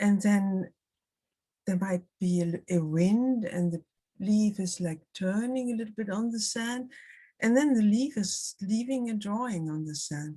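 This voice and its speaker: On a very clean recording with a silent background, a woman with a German accent speaks at a fairly slow pace and medium pitch, her dark, mellow tone somewhat breathy, with ordinary pitch variation. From Germany, Hamburg. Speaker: art writer and critic. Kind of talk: public conversation. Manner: halting.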